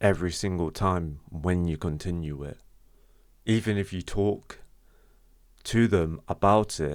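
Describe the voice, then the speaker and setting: A man's very deep, low voice at a fairly slow pace, with fairly even intonation, on a very clean recording with a silent background. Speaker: vlogger sharing personal experience. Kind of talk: unscripted talk to camera. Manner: stutters; halting, repeats words.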